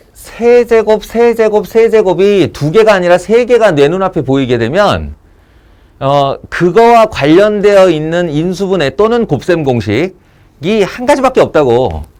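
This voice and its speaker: A man talks with a high pitch and lively intonation. His pace is fairly slow. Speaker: math teacher. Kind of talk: lecture. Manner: casual.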